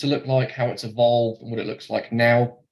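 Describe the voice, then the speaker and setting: A man with a Norfolk accent talks at a very fast pace in a medium pitch, his voice somewhat breathy. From England, Norfolk. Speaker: mortgage lender account manager. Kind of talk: webinar presentation. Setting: online webinar. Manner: hesitant, many fillers.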